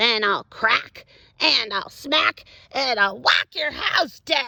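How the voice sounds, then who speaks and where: A woman puts on a character voice at a fairly high pitch. She speaks very slowly. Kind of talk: robot voice. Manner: menacing, threatening.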